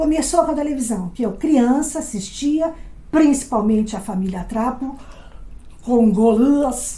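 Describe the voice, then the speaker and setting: In a room with audible echo, a woman with a high pitch and a dark, mellow tone talks at a fairly slow pace with lively intonation. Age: 60s. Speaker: actress and comedy lecturer. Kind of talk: lecture.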